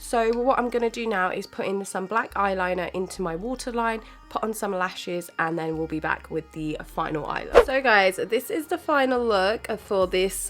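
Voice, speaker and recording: With music in the background, a woman in a fairly high voice speaks at a moderate pace with lively intonation and hardly any pauses. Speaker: beauty youtuber. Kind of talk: makeup tutorial voiceover. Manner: casual, chatty.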